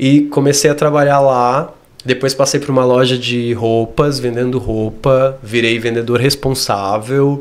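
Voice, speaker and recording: At a fairly slow pace, a man speaks at a medium pitch with monotone, flat intonation. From Brazil, Rio Grande do Sul (Torres). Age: 30s. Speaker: dance teacher. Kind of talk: interview. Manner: clear, articulate.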